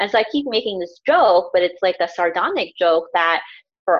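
A woman at a moderate pace, in an unremarkable speaking voice. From US South, Houston, Texas (born in Pakistan, moved very young). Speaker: counselor and educator. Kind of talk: podcast interview.

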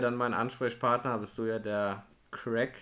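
A man's bright, sharp voice, monotone and flat in intonation, at a fairly slow pace. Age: 30s. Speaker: podcast host, van converter. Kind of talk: casual chat.

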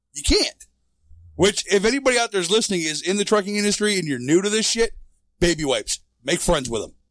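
Talking very fast, a man with an American accent has a high pitch. His intonation is lively. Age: 40s. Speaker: truck driver. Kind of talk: casual chat.

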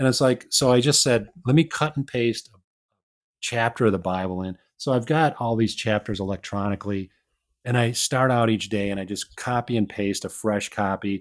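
A man with a Midwestern US accent speaks at a moderate pace and medium pitch, with ordinary pitch variation. The recording is very clean, with a silent background. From Chicago, US Midwest. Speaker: author and aerospace engineer. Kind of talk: casual interview chat.

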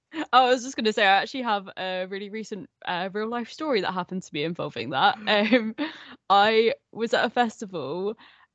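A woman's fairly high voice in an English accent, fairly quick, with lively intonation and big swings in loudness. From England. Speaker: podcast guest, horror podcaster. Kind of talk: casual chat. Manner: laughs a lot.

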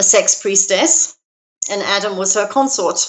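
A woman speaks at a moderate pace with a fairly high pitch. Her pitch variation is ordinary. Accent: London. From London, England. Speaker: minister and author. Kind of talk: casual interview.

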